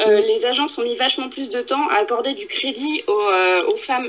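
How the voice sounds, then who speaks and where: This woman's high voice makes very wide pitch swings as she talks at a moderate pace. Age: 20s. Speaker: podcast co-host. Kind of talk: casual chat.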